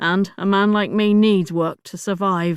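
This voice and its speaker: A put-on character voice at a middle pitch and moderate pace, in a very clean recording with a silent background. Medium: read story. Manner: guarded, terse.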